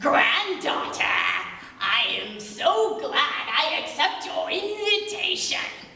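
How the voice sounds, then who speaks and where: A woman's put-on character voice, extremely high in pitch, at a fairly slow pace, with clear echo and light background noise. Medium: stage play.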